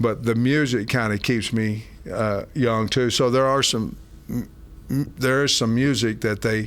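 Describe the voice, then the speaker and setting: A man with an ordinary speaking voice talks at medium pitch and a fairly slow pace. His loudness stays very even, with fairly even intonation. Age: 60s. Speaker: college football head coach. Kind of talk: interview. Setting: in person, team facility.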